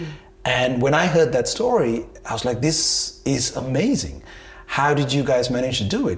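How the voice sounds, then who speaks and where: A man's fairly high voice carries lively intonation at a moderate pace, with noticeable background noise behind him. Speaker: entrepreneur and events producer. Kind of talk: interview. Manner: halting, many repetitions and fillers.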